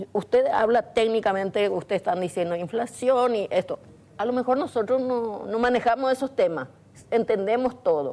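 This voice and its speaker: A woman's dark, mellow voice, fairly high in pitch, with ordinary pitch variation and a moderate pace. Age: 60s. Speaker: domestic worker, community volunteer. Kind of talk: TV studio interview.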